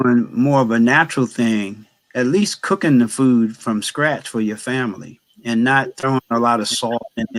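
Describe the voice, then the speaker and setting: A man with an American accent and an unremarkable speaking voice talks at a moderate pace and medium pitch with ordinary pitch variation, in a dry, close recording with no echo. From New Jersey. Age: 60s. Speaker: chef and baker. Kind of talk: casual chat.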